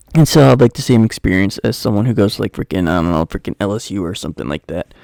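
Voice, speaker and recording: A quiet man with a dark, mellow tone, vocal fry and lively intonation, very fast, the sound dry and close with no echo. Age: 20s. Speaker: talk show host. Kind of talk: casual solo talk.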